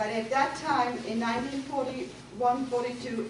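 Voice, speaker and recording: A woman speaks in a German accent, her pitch high with ordinary variation. Both audible room echo and noticeable background noise come through. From Germany. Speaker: guest speaker telling her life story. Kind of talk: personal testimony to a group. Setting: room with live audience of women.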